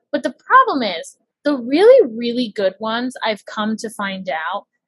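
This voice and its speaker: Here is a woman with a normal speaking voice and a fairly high pitch. Her fairly slow delivery comes through with a dry, close sound and no echo. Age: 20s. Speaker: podcast guest. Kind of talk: casual chat.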